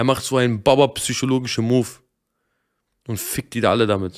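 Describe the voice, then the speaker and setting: A man is speaking. The background is quiet. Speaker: streamer. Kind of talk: angry rant, live-stream reaction. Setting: live stream. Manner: agitated, swearing, ranting. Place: home room. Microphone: studio mic.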